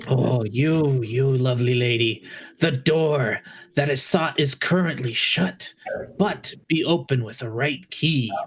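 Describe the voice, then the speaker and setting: In a put-on character voice, a man speaks fairly slowly at a medium pitch with ordinary pitch variation. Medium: actual play. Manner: theatrical, sighing "oh"s.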